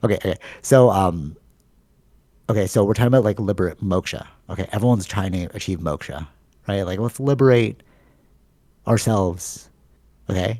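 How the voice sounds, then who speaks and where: With a dark, mellow tone, the speaker moves at a fairly quick pace but takes long, frequent pauses on a very clean recording with a silent background. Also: man, fairly low pitch for a man, ordinary pitch variation. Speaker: podcast host. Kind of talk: casual chat. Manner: filler-heavy, repeats "like".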